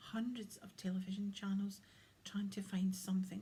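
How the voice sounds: The reading is done in a natural voice.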